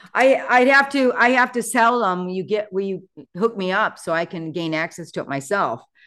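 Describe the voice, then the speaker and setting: Against a quiet background, a woman with an ordinary speaking voice talks at a moderate pace. Her medium pitch carries lively intonation. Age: 60s. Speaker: real estate agent and mentor. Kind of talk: casual chat.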